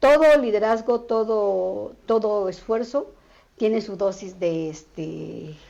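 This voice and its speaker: Over a quiet background, a woman speaks at a very slow pace in a medium pitch and a dark, mellow tone, with lively intonation and big swings in loudness. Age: 60s. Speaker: social activist. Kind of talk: interview.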